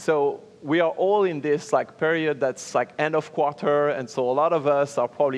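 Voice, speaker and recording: Spoken at a moderate pace with a French accent, the voice shows ordinary pitch variation. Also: man. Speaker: panel moderator. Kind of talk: panel discussion. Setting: stage with audience.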